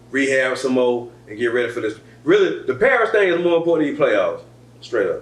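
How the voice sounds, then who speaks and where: Audible room echo around a man speaking at a fairly quick pace. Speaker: podcast host. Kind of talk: casual chat. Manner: fast.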